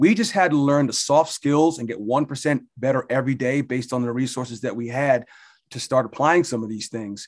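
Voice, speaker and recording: A man with an American accent and an unremarkable speaking voice talks fairly quickly at a medium pitch with ordinary pitch variation, in a very clean recording with a silent background. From New Jersey, Jersey Shore. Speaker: fitness club executive director. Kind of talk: interview.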